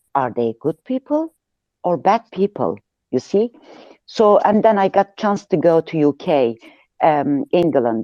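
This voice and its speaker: With a Turkish accent and a dark, mellow tone, a woman speaks at a fairly slow pace with very wide pitch swings and long, frequent pauses, the sound dry and close with no echo over a quiet background. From Turkey. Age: 50s. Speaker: audience speaker in online discussion. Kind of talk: casual personal account. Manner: halting, hesitant.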